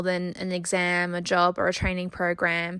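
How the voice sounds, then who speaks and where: A woman talks at a moderate speed in a very clean recording where the background is silent. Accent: Australian. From Australia. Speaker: podcast host and junior doctor. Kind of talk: interview; scripted intro.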